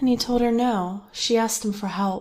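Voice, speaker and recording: A woman talks at a fairly slow pace, keeping her intonation fairly even. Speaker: ASMR narrator. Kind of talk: ASMR scary story narration.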